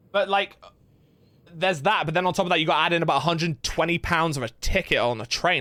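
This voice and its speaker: In a very clean recording with a silent background, a man with a fairly high pitch speaks very fast in an animated, bright, sharp tone with ordinary pitch variation. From England. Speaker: gaming streamer. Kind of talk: casual chat. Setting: live stream.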